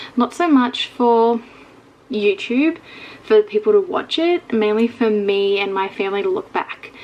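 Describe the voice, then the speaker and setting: A woman with a fairly high voice talks fairly slowly, her pitch swinging very widely. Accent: Australian. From Australia. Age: 20s. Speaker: vlogger. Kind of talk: casual vlog talk to camera. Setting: bedroom.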